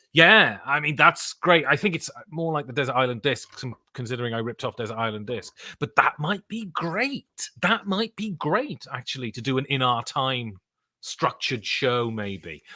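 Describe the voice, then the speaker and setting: In a British accent, a man speaks at a moderate pace with a bright, sharp tone and very wide pitch swings, in a dry, close sound with no echo. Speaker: board game podcaster and voice actor. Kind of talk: live stream chat. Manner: casual, rambling with fillers.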